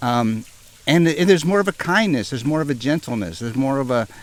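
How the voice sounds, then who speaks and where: A man with an American accent and a medium pitch swings his pitch very widely, over noticeable background noise. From Northern California. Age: 60s. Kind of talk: interview answer.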